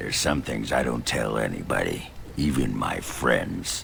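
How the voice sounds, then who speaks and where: Using a put-on character voice, a man speaks at a moderate pace with a very deep, low pitch. Background noise is clearly heard. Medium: game stream. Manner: gruff, crude, boisterous.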